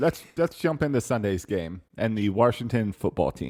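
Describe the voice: Fairly low-pitched male speech in a Baltimore accent, with lively intonation and a moderate pace, dry and close with no echo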